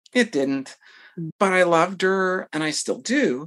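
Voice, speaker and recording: A woman with an American accent at a moderate pace. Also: quiet background. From US South, Tennessee. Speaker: retired military pilot and university instructor. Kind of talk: interview.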